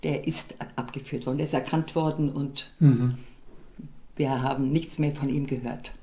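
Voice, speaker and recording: The speech moves at a fairly slow pace, broken by long, frequent pauses. The intonation is monotone and flat, and the voice is somewhat breathy. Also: woman, very deep, low pitch for a woman. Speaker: contemporary witness of the war. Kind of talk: interview answer. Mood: somber recollection of wartime losses. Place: home room.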